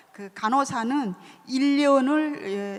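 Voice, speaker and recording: A woman talks with ordinary pitch variation. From North Korea. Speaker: author. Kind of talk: book talk interview.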